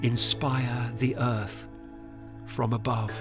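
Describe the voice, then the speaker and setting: A man speaks very slowly while music plays in the background. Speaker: performance poet. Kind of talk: poetic film trailer narration.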